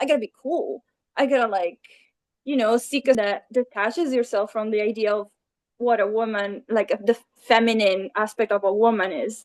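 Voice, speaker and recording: Delivered in an Italian accent at a fairly quick pace, the speech has ordinary pitch variation and long, frequent pauses, with a dry, close sound and no echo. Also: woman, fairly high pitch for a woman. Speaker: illustrator. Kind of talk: interview.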